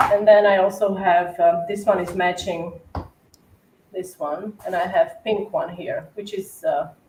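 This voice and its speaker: With an Eastern European accent, a woman speaks at a fairly slow pace in a medium pitch, her intonation fairly even but her loudness swinging widely. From Slovakia. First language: Slovak. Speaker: cookie decorator. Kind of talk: casual chat.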